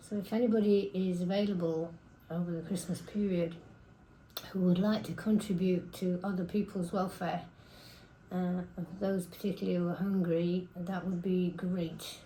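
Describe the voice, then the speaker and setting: A woman's somewhat breathy voice with a dark, mellow tone and monotone, flat intonation. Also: medium pitch for a woman, moderate pace. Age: 70s. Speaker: community food volunteer. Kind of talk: interview testimony.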